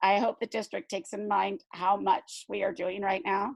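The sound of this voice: Using a put-on character voice, a woman talks at a moderate pace in a raspy, medium-pitched tone with ordinary pitch variation, recorded with a dry, close sound and no echo.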